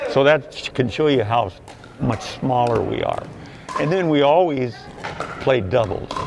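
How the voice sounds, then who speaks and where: A man at a fairly slow pace, with noticeable background noise behind him. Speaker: senior pickleball player. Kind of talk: interview. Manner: halting.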